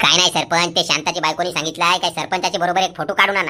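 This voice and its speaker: A woman's cartoonish character voice, fairly low-pitched and fairly quick, with monotone, flat intonation, very even loudness and clear background noise. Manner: blunt, cheeky.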